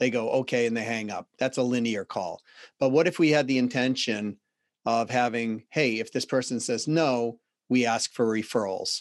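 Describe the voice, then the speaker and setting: A man with a Boston accent speaks at a moderate pace and medium pitch. His fairly even intonation comes through a dry, close sound with no echo and a quiet background. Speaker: sales and business consultant. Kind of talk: interview.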